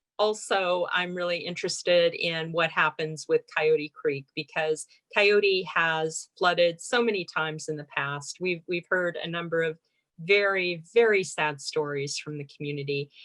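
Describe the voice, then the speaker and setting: A woman talks in a normal speaking voice at a fairly slow pace. Her pitch is fairly low, with ordinary pitch variation. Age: 60s. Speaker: water district board director. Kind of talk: informal online Q&A discussion. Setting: zoom webinar.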